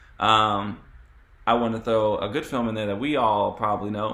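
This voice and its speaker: A man's medium-pitched voice carries audible echo from the room. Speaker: panel moderator. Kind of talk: moderated panel discussion. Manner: fast.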